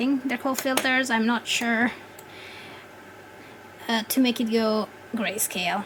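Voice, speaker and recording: Over noticeable background noise, a woman with a non-native accent and a fairly high pitch speaks at a fairly slow pace with fairly even intonation and long, frequent pauses. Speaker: 3D content creator. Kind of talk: software tutorial voice-over. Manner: hesitant, many filler words.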